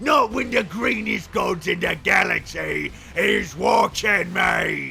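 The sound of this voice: Shouting in a put-on character voice at a fairly slow pace, a man is heard over clear background noise.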